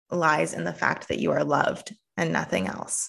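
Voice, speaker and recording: A woman with a Canadian accent, bright, sharp tone, vocal fry and ordinary pitch variation. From Canada. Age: 30s. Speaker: pastor and theologian. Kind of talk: casual chat.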